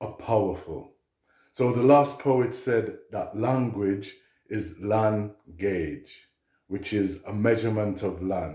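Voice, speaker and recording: Speaking at a very slow pace, a man with a fairly low pitch and ordinary pitch variation has a dark, mellow, somewhat breathy tone. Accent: Jamaican. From Liverpool, England, of Jamaican parents. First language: Jamaican Patois. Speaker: poet. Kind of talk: talk to camera.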